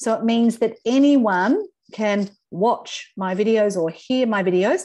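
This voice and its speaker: A woman with an Australian accent has a dark, mellow tone and ordinary pitch variation. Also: quiet background. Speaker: LinkedIn trainer. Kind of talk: webinar presentation. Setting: video call. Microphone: video call.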